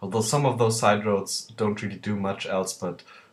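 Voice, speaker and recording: Speaking at a moderate pace, a man with a non-native accent has a fairly low voice. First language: not English. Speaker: video game let's player. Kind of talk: gameplay commentary. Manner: hesitant, many filler words.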